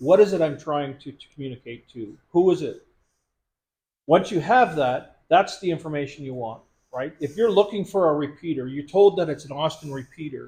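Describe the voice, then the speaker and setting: A man with a fairly high pitch speaks at a moderate pace, his pitch varying in an ordinary way while his loudness swings widely. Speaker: radio instructor at prepper meeting. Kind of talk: workshop tutorial.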